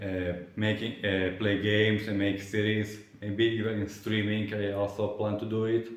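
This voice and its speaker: A man at a moderate pace, fairly low in pitch, monotone and flat, with audible room echo and noticeable background noise. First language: not English. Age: 20s. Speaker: vlogger. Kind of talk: casual vlog monologue. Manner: halting, many fillers and restarts.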